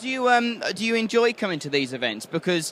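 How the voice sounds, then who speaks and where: With an East Midlands accent, a man speaks in a bright, sharp tone with lively intonation. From England, Nottingham. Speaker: podcast interviewer. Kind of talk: casual interview.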